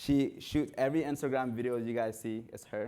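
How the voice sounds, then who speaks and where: A man with a non-native accent, medium pitch and an animated tone, at a fairly quick pace, on a very clean recording with a silent background. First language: not English. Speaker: runner and content creator. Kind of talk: panel discussion.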